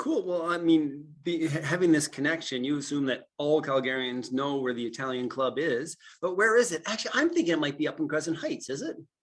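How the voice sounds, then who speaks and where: A man with a Canadian accent talks at a fairly quick pace with hardly any pauses, using a normal speaking voice that is fairly high in pitch with ordinary variation. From Atlantic Canada. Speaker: podcast host, realtor. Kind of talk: interview. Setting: video call.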